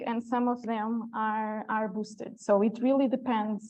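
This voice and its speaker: A woman speaks in an unremarkable speaking voice. Her pitch is fairly high. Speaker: public health communicator. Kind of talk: conference presentation; Q&A answer.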